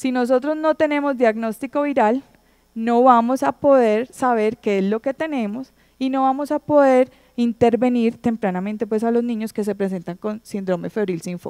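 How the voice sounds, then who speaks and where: In a quiet background, a woman with a dark, mellow tone and a fairly high pitch talks at a moderate pace with ordinary pitch variation. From Colombia. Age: 30s. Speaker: pediatric infectious disease doctor; presenter. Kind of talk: conference lecture. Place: hall. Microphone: handheld.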